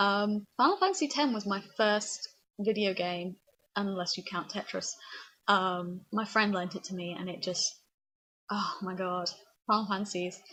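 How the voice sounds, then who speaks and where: Speaking with a British accent, a woman has a bright, sharp tone at medium pitch. Her pace is moderate, with long, frequent pauses. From England. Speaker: vlogger. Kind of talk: casual vlog chat. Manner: frequent ums, rambling hesitations; animated.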